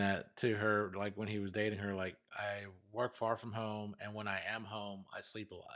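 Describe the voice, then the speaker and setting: In a very clean recording with a silent background, a man with an ordinary speaking voice and fairly low pitch talks at a moderate pace with hardly any pauses and big swings in loudness. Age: 40s. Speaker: podcast co-host. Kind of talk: casual chat.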